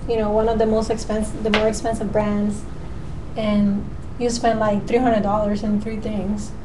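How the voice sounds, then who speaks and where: Someone speaks at a moderate pace in a Puerto Rican accent. Noticeable background noise and audible room echo fill the recording. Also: woman. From Puerto Rico. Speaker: natural cosmetics maker. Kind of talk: casual chat.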